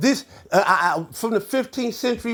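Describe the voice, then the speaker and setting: Lively intonation marks this voice. The speaker is a man. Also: very clean recording, silent background. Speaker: religious commentator and YouTuber. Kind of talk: heated rant. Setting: home livestream. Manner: slurs words, says B as V; halting.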